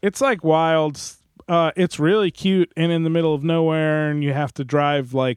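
A man speaks with an American accent at a moderate pace. He has an ordinary speaking voice, and his pitch varies in an ordinary way. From New Jersey. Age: 30s. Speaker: musician and recording engineer. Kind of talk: casual chat. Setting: video call.

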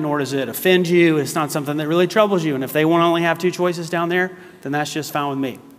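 With an American accent, the speaker goes at a very fast pace with fairly even intonation amid noticeable background noise. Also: man. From US South, South Carolina. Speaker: guest preacher. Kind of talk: sermon. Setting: church.

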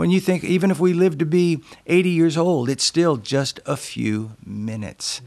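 A man with a southwestern US accent speaks with very wide pitch swings on a very clean recording with a silent background. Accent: American, southwestern. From Yuma, Arizona, US. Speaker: senior pastor. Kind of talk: casual interview.

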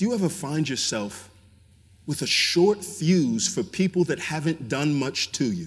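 A man with a fairly high pitch and an ordinary speaking voice talks with lively intonation. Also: fairly slow pace. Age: 30s. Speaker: pastor. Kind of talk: sermon.

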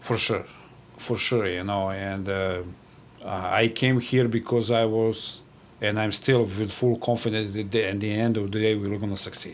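This man has a Serbian accent and a fairly low pitch. He talks at a moderate pace with flat, monotone intonation. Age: 40s. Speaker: national team water polo coach. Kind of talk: interview. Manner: direct.

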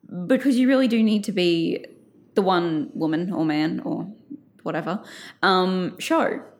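With lively intonation and medium pitch, a woman speaks at a fairly slow pace, leaving long, frequent pauses. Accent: Australian. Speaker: journalist and culture writer. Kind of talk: casual interview.

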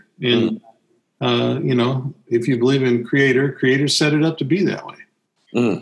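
A man talks at a moderate pace with a medium pitch. His pitch variation is ordinary and his loudness very even. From US South. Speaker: podcast co-host. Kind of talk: casual conversational podcast discussion.

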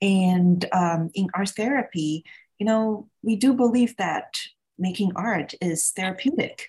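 A woman with medium pitch and a somewhat breathy voice speaks at a fairly slow pace with ordinary pitch variation. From Taiwan. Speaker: artist. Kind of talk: casual interview.

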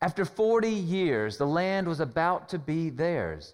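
Speaking slowly at a fairly unhurried pace, a man with an American accent has a high-pitched voice. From US South, Carolinas. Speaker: pastor. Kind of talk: sermon.

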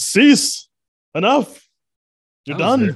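A man puts on a character voice with an extremely high pitch. His tone is dramatic. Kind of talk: voice actor style. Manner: commanding, dramatic.

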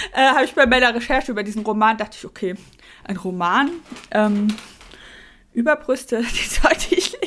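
A woman talks at a fairly quick pace in a high pitch, with lively intonation, big swings in loudness and long, frequent pauses. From Mecklenburg-Vorpommern. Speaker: podcast co-host. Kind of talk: casual chat.

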